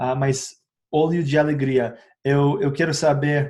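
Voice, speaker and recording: Fairly slow, somewhat breathy speech from a man with an English accent, fairly high in pitch, dark and mellow in tone, with fairly even intonation. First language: English (speaking Portuguese). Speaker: essential oils educator, YouTuber. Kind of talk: informal educational talk to camera. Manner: hesitant, many filler sounds.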